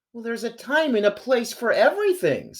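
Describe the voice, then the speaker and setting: Using a put-on character voice, a woman speaks with a high pitch at a fairly quick pace. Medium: read story.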